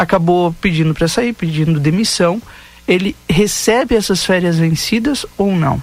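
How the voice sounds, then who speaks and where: With very even loudness, a man speaks at a high pitch and a fairly slow pace with ordinary pitch variation. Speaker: radio host. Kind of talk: radio news and talk show. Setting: radio studio.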